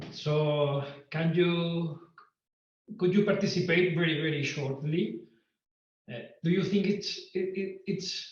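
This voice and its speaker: The speaker has a Spanish accent and talks at a fairly slow pace. The intonation is fairly even, and room echo is audible. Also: man. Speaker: guitar teacher and composer. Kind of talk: online lecture. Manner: halting.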